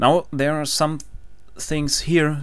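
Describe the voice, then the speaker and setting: A man with a German accent at a moderate pace. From Germany. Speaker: engineering tutorial maker. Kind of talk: tutorial. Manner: halting, frequent fillers.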